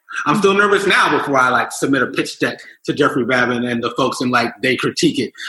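Speaking very fast with an American accent, a man uses lively intonation at a fairly high pitch. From Philadelphia. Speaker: entrepreneur. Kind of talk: casual chat.

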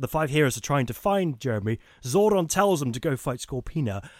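A man's fairly high voice at a fairly quick pace, with lively intonation. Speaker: podcast co-host. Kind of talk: casual chat. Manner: fast.

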